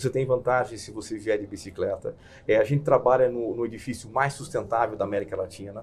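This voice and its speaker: Pitch varies in an ordinary way through this somewhat breathy voice. The delivery is fairly quick. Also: man. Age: 50s. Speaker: corporate executive. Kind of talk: interview. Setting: studio.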